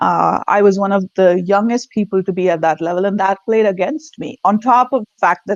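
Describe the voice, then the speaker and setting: A woman with a non-native accent at medium pitch, fairly quick pace and hardly any pauses, ordinary pitch variation, in a dry, close sound with no echo. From India. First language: not English. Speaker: leadership consultant. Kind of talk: interview. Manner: halting.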